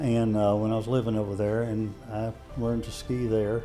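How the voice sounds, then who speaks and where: Music plays in the background as a man speaks at a medium pitch and a fairly slow pace. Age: 70s. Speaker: army veteran. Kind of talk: interview answer.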